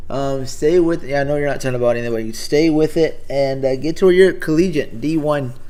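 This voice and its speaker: With an American accent, a man talks at a fairly quick pace and a fairly high pitch, with audible room echo around him. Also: ordinary pitch variation, hardly any pauses. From Texas. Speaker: live streamer. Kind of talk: casual chat. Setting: live stream. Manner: halting, many fillers.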